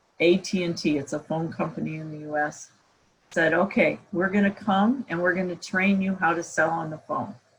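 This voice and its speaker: A woman speaks at a moderate pace. Her pitch is fairly low, with ordinary pitch variation. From US Midwest, Iowa. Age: 60s. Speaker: professor. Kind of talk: guest talk at online camp.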